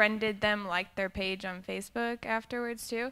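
With a clear, smooth yet bright, sharp tone, a woman speaks at medium pitch and ordinary pitch variation.

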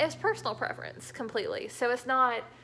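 Faint background music accompanies a woman as she talks. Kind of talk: casual vlog chat. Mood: relaxed, chatty. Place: home room. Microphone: phone near.

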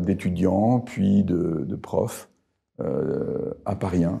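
A man speaks with a dark, mellow tone at a fairly low pitch, his pitch varying in an ordinary way. The background is quiet. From northern France, Arras; France. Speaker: professor emeritus; professor emeritus, interviewee. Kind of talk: interview. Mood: calm, reflective. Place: home room. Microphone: lapel.

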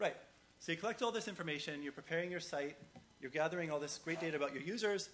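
Speaking at a very fast pace, a man with a fairly high pitch uses ordinary pitch variation against light background noise. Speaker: conference speaker. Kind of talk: conference talk; audience Q&A. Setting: stage with audience. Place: hall.

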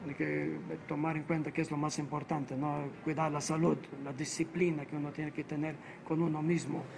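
A man with a non-native accent, fairly high in pitch, monotone and flat at a moderate pace, over noticeable background noise. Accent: foreign accent in Spanish. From Malta. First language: Maltese (speaking Spanish). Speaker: priest and doctor; priest. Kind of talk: interview. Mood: earnest, reflective.

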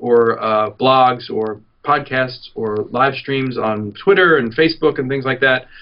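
With an American accent, a man speaks in a normal speaking voice at a medium pitch. He goes at a fairly slow pace with fairly even intonation. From New York. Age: 40s. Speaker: activist filmmaker. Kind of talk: interview.

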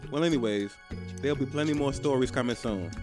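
The speaker is a man. Clear music plays in the background. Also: dry sound with no echo. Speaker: comedy skit actor. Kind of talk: comedic skit, flirty phone chat. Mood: playful, joking. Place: garden.

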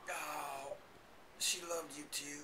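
Over loud background noise, a man puts on a character voice at a fairly high pitch. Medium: comedy sketch.

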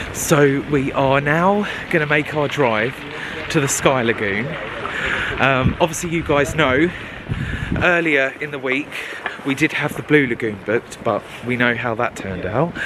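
The speech moves at a moderate pace with long, frequent pauses. The sound is dry with no echo, and noticeable background noise is present. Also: man, ordinary pitch variation. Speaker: travel vlogger. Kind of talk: casual vlog chat. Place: street. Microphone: phone near.

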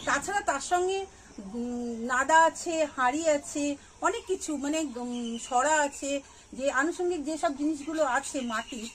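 A woman with a high pitch and ordinary pitch variation over light background noise. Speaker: gardening channel host. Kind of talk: casual vlog chat. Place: street.

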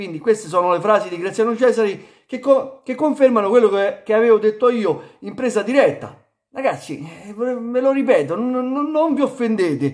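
Against a quiet background, a man with an extremely high pitch speaks at a moderate pace with lively intonation. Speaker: football YouTuber; football commentator vlogger. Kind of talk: video commentary monologue. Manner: halting, stammering. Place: home room. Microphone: phone near.

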